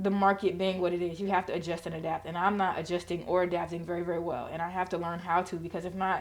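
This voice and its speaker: A woman speaks at a very fast pace in a monotone, flat intonation. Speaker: trading channel host. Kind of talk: market analysis tutorial. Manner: casual, rushed.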